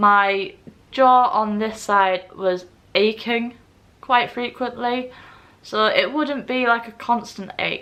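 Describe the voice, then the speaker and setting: Very slow speech in an English accent with a bright, sharp tone. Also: woman, fairly high pitch for a woman, ordinary pitch variation. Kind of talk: personal vlog monologue. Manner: slurred speech.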